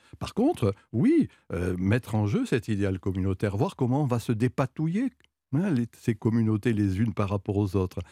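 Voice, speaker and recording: A man's dark, mellow voice at a fairly low pitch and moderate pace, with ordinary pitch variation, in a very clean recording with a silent background and a dry, close sound with no echo. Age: 70s. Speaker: sociologist. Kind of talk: radio interview.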